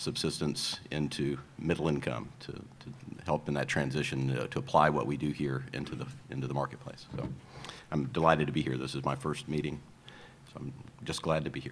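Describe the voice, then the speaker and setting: A man talks at a very deep, low pitch and a fairly quick pace. His intonation is monotone and flat, with noticeable background noise. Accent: American. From US South, Georgia. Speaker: board member, investment manager. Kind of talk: formal introduction at public meeting.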